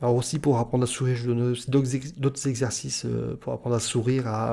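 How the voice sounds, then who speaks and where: This man's voice has a dark, mellow tone at a medium pitch. His intonation stays fairly even, and the recording is very clean with a silent background. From northern France. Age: 30s. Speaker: YouTuber / self-confidence vlogger. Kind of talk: vlog monologue. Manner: hesitant, many filler sounds; weak articulation.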